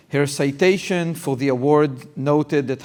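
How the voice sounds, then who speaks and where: A man, fairly high in pitch, at a fairly slow pace with fairly even intonation. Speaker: university dean and interviewer. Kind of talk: live public interview. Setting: event with live audience.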